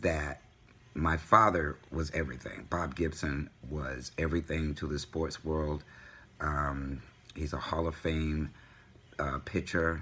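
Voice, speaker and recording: The voice speaks with an American accent at a very slow pace, its bright, sharp tone carrying vocal fry and monotone, flat intonation. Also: man, very deep, low pitch for a man. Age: 60s. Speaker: vlogger. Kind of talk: personal vlog. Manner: halting, many fillers.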